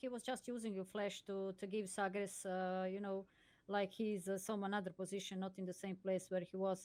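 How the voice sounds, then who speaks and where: At a moderate pace, a woman with a non-native accent speaks at medium pitch in a monotone, flat intonation. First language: not English. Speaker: esports co-commentator. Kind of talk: live commentary. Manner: halting.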